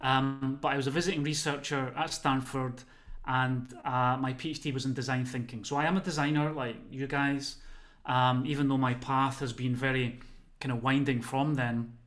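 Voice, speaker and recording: There is audible room echo as the voice moves at a moderate pace with fairly even intonation. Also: man. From Scotland, Motherwell (West of Scotland). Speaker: well-being consultant and lecturer. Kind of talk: webinar talk. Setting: video call from home.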